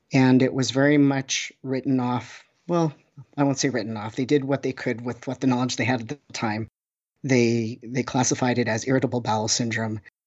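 With a Canadian accent, a man of medium pitch talks at a fairly quick pace in a plain, everyday voice. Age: 40s. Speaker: oncology social worker. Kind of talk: interview.

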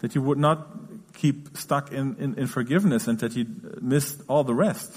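A man speaks at a fairly high pitch in a somewhat breathy voice. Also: ordinary pitch variation, moderate pace. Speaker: interpreter. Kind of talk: sermon. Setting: church.

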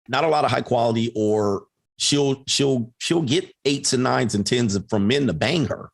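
This is an unremarkable speaking voice with ordinary pitch variation. It holds a moderate pace and very even loudness. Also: man, medium pitch for a man. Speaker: coach and online content creator. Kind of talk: casual conversation. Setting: live stream.

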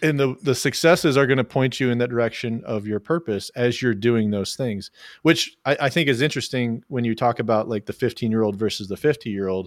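A man with an American accent speaks at a fairly quick pace with hardly any pauses, medium pitch and ordinary pitch variation in an unremarkable speaking voice. The recording is very clean, with a silent background. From Oklahoma, US. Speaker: podcast host. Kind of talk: casual interview chat.

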